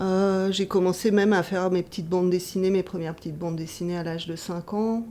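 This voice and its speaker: A woman speaks at a medium pitch with a dark, mellow tone and fairly even intonation. Her pace is fairly slow, in a very clean recording with a silent background. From Taiwan, Dutch family. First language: Taiwanese (speaking French). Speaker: comics author and teacher. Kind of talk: interview. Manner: hesitant, many filler sounds.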